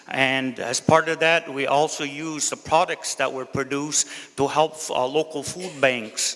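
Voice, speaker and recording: A man speaks in a flat monotone at a fairly high pitch. Noticeable background noise runs behind him. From Kahnawake, Quebec (Mohawk community). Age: 60s. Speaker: council candidate, community elder. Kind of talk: campaign speech. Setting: community hall with audience.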